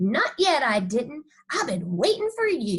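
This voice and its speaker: Putting on a character voice, a woman speaks high in pitch at a fairly slow pace, her pitch swinging very widely. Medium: read story. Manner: warm, indulgent.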